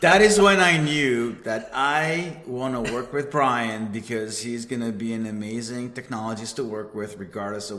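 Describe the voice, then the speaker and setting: A man with an Israeli accent speaks at medium pitch and a moderate pace, with ordinary pitch variation. The room has audible echo and noticeable background noise. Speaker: cybersecurity manager. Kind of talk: casual chat.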